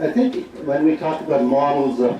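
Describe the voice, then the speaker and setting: A man talks in a medium pitch. Audible room echo and noticeable background noise surround his voice. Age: 70s. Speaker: psychiatrist. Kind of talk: conference speech. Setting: auditorium with audience.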